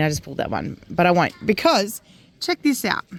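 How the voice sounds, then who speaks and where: Speaking at a moderate pace and medium pitch, a woman with an Australian accent makes very wide pitch swings. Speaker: homesteader vlogger. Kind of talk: casual vlog talk.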